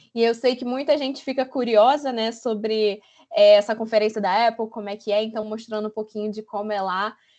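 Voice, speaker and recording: Over a quiet background, a woman with a fairly high pitch speaks at a fairly quick pace, her loudness swinging widely. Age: 20s. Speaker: UX designer. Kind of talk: online talk presentation. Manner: animated.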